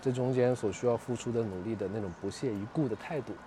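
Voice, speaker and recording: Noticeable noise runs through the background. Over it, a man talks rather quickly. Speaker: pop culture media founder and podcaster. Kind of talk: casual chat. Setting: outdoors.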